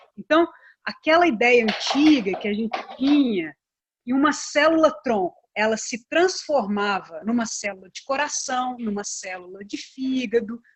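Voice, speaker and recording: With high pitch and lively intonation, a woman talks at a fairly slow pace. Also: big swings in loudness. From Brazil, Belo Horizonte (Minas Gerais). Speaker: pharmacist and biomedical researcher. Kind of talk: interview on a live stream.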